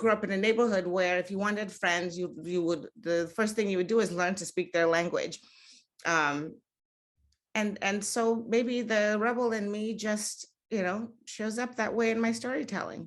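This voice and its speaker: Over a quiet background, a woman talks at a moderate pace in a medium pitch with ordinary pitch variation. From Nigeria (Lagos), American mother. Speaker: author. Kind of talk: panel discussion. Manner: halting, many fillers and repeats.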